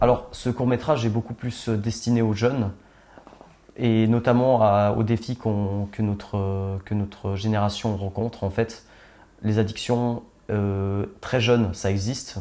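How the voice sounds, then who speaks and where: Speaking fairly slowly, a man uses a fairly low pitch and a monotone, flat intonation. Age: 20s. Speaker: young filmmaker. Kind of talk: interview. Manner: hesitant, many fillers.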